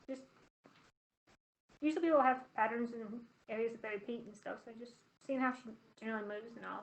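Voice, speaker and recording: A soft-spoken woman with a high pitch. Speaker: professional MMA fighter. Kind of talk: interview answer at virtual media day. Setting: webcam call. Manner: soft-spoken, quiet.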